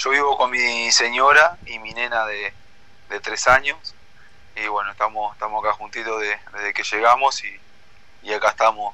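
Long, frequent pauses break up this moderate-paced speech, which has fairly even intonation over noticeable background noise. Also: man, medium pitch for a man. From Uruguay. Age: 20s. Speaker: footballer. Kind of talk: interview.

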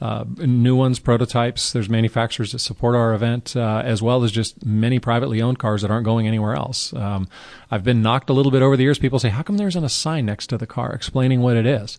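Against a quiet background, a man at a medium pitch talks at a very fast pace with ordinary pitch variation. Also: hardly any pauses. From Carmel, California. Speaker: car event founder. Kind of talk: interview.

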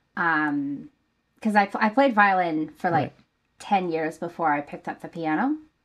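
A woman with an ordinary speaking voice talks at a moderate pace, her fairly low pitch carrying lively intonation over a quiet background. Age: 20s. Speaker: singer-songwriter. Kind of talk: interview conversation.

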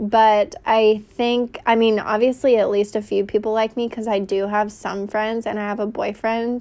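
Over a quiet background, a woman with an American accent and a fairly high pitch speaks slowly-ish, at a fairly slow pace, in a flat monotone. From US South, North Carolina (Raleigh). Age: 20s. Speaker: podcast host. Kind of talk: casual monologue. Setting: home recording on phone. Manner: talkative, loud.

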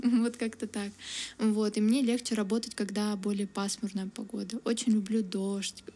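Speaking in a monotone, flat intonation, a woman with a medium pitch has a dark, mellow tone that is somewhat breathy. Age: 20s. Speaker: university student. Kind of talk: interview. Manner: casual, many fillers.

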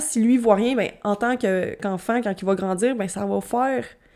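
A fairly high female voice with ordinary pitch variation, in a very clean recording with a silent background. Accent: Quebec. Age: 20s. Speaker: podcast host. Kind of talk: casual solo monologue.

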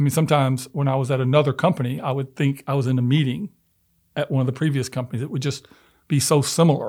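Very fast and somewhat breathy, a man speaks at a fairly high pitch with fairly even intonation. The recording is very clean, with a silent background. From US South, Memphis. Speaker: venture capitalist. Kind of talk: interview. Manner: hesitant with fillers.

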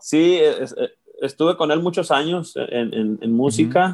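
A man speaks in a fairly high pitch. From Mexico, Sinaloa (Guamúchil). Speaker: musician. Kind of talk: casual interview chat.

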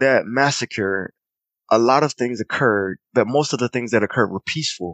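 A man speaks in a plain, everyday voice with an American accent. His medium pitch shows ordinary variation at a moderate pace. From US South, Clinton, South Carolina. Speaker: artist and creative director. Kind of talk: casual interview, personal storytelling.

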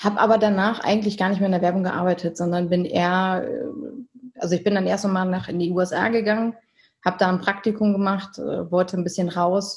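A somewhat breathy voice at a fairly quick pace, flat and monotone in intonation. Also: woman, medium pitch for a woman. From Germany, Münsterland. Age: 30s. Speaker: company director and event organizer. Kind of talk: interview. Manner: hesitant, many fillers.

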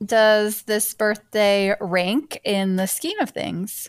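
A woman speaks with an American accent and a fairly high pitch. The recording is very clean, with a silent background. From Michigan. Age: 30s. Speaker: teacher and podcast host. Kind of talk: casual chat.

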